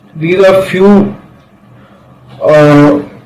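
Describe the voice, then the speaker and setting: Noticeable noise sits in the background. Over it, the intonation is fairly even. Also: man. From India, Bihar. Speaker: company founder presenting a business proposal. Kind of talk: presentation reading slides.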